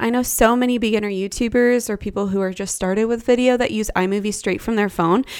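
Here a woman with an ordinary speaking voice and medium pitch talks at a fairly quick pace. Her pitch varies in an ordinary way, and the recording is very clean with a silent background. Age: 20s. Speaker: podcast co-host, photography business owner. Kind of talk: casual chat.

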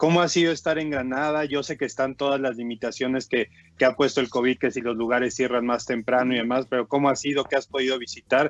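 A man with a Mexican accent talks at a very fast pace, with hardly any pauses, at a medium pitch and with fairly even intonation. The sound is dry and close, with no echo. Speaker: basketball commentator. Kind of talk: sports talk show. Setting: remote connection.

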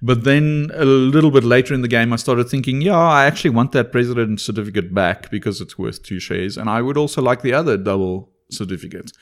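Very fast speech from a man, medium in pitch with ordinary pitch variation, on a very clean recording against a silent background. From South Africa, Afrikaans. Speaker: board game podcast co-host. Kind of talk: casual chat.

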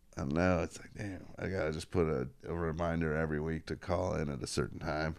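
Using a very deep, low pitch with vocal fry, a man talks at a fairly quick pace with fairly even intonation. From Northern Kentucky, near Cincinnati. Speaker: comedian. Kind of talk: casual chat.

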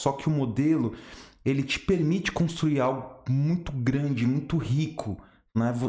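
This man talks at a fairly slow pace in a somewhat breathy voice with ordinary pitch variation. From São Paulo, Brazil. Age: 30s. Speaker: former banker, independent financial agent. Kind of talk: casual interview chat.

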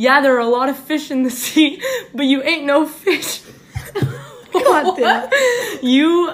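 A woman's high-pitched voice with lively intonation at a very slow pace, long and frequent pauses, and noticeable background noise. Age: 20s. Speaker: podcast guest sharing dating stories. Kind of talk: reading aloud. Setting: in a room, far from recording device. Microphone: far from the mic, uneven volume.

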